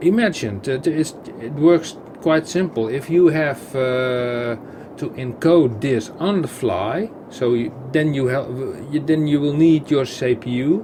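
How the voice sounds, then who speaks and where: Fairly slow speech with lively intonation and noticeable background noise. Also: man. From Netherlands. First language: Dutch. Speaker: gaming YouTuber. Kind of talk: gameplay commentary. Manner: halting, many fillers and repetitions; casual, chatty.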